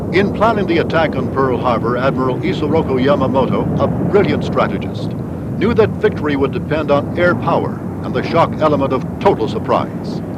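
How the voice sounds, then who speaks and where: This man has an American accent and a fairly high pitch, speaking fairly quickly with lively intonation. Background noise is noticeable. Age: 80s+. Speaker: war veteran; former radio correspondent. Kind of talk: documentary narration.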